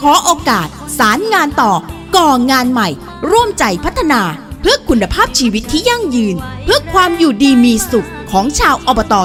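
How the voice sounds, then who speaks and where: Music plays in the background as a woman speaks with a high pitch. Her loudness stays very even while her pitch swings very widely. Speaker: voice-over announcer for a local election ad. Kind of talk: election campaign spot read.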